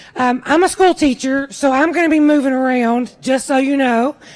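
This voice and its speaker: The speaker talks loudly and fairly quickly with a Kentucky accent and fairly even intonation. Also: woman. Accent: Kentucky Southern US. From Kentucky, Washington County. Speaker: political candidate and school teacher. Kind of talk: campaign speech. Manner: loud, projecting.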